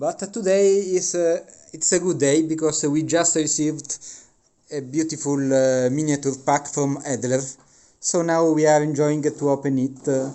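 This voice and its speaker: A man with a non-native accent talks at a fairly slow pace. His pitch is fairly high, his intonation fairly even. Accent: non-native English speaker. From Italy. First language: Italian. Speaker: miniature wargaming hobbyist. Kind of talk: unboxing review. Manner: halting, many filler sounds.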